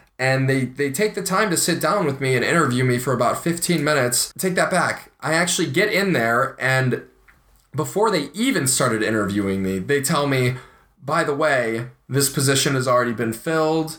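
Bright and sharp in tone, a man with an American accent speaks at a moderate pace with a fairly high pitch, lively intonation and very even loudness. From US Midwest, Ohio. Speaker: podcast co-host, aspiring actor. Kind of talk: casual chat.

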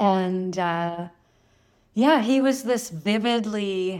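Speaking very slowly with a Canadian accent, a woman is heard on a very clean recording with a silent background. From Thunder Bay, northern Ontario, Canada. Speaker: author and osteopath. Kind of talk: interview.

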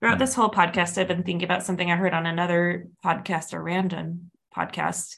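Talking at a very fast pace with vocal fry, a woman keeps a fairly low pitch and fairly even intonation. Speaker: podcast co-host. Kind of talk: casual chat.

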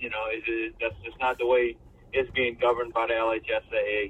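A man talks at a fairly quick pace, and noticeable background noise can be heard. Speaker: high school basketball coach. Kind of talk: interview.

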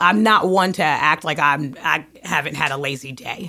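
A woman's bright, sharp tone with very wide pitch swings. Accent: American. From Brooklyn, New York. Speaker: podcast co-host, musician. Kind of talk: casual chat.

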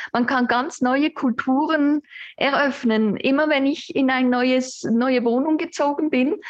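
A woman at high pitch with ordinary pitch variation. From Switzerland, Basel area. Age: 50s. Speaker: psychologist. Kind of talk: casual chat. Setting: at home on sofa.

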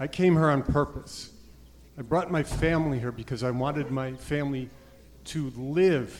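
At a moderate pace, the speaker talks with an American accent and ordinary pitch variation. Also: man. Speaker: political science professor, candidate. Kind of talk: campaign stump speech. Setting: stage at party convention. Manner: direct.

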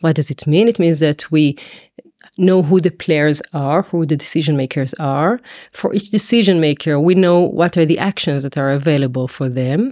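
A woman with an Israeli accent and a very deep, low pitch, a dark, mellow tone, moderate pace and ordinary pitch variation, heard dry and close with no echo. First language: Hebrew. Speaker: mathematics professor. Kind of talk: interview explanation.

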